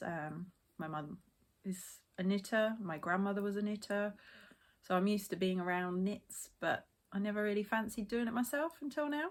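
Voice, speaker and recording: A woman with a British accent speaks at a medium pitch, her intonation lively. The recording is very clean, with a silent background. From England, Essex. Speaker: knitting podcaster. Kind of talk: casual podcast chat. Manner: hesitant, filler-heavy.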